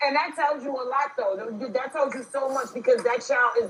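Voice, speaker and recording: Amid noticeable background noise, a woman with a New York accent speaks at a very fast pace. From New York City. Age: 40s. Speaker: livestream host. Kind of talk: casual chat. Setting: livestream. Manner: animated.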